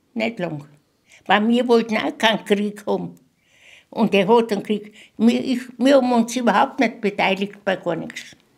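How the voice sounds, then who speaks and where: A moderate pace with vocal fry, ordinary pitch variation, and long, frequent pauses. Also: woman, fairly high pitch for a woman. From Moravia. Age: 80s+. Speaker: contemporary witness. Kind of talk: interview. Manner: halting.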